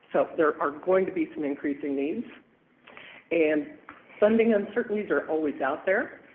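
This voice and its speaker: There is noticeable background noise as a man delivers his words at a moderate pace, his pitch varying in an ordinary way. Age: 60s. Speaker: transit agency director presenting to city council. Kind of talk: public presentation at council meeting. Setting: city council meeting.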